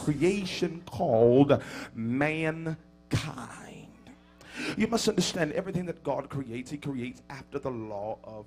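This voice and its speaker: A man with an American accent and a fairly high voice, lively intonation, a very slow pace, long, frequent pauses and big swings in loudness, with music in the background. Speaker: bishop, preacher. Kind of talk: sermon, whooping preaching. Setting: church pulpit.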